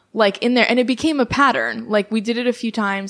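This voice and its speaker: With an American accent, a woman with an ordinary speaking voice talks fairly quickly at a fairly high pitch, her intonation fairly even. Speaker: artist and writer. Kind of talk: casual chat.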